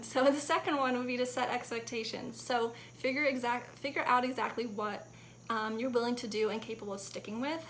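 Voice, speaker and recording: A woman speaks at a fairly quick pace in a fairly high voice with fairly even intonation. The room echo is audible and background noise is noticeable. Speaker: fitness vlogger. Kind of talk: casual vlog tips. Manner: fast; casual, filler-heavy.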